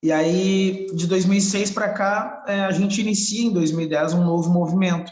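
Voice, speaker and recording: The man speaking has a high pitch. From Porto Alegre, Brazil. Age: 30s. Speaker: rapper and hip hop activist. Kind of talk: interview answer.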